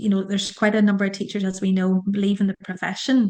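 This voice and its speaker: A woman with an Irish accent speaks at a medium pitch in a monotone, flat intonation on a very clean recording with a silent background. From Ireland. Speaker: school leader and careers coach. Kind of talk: interview.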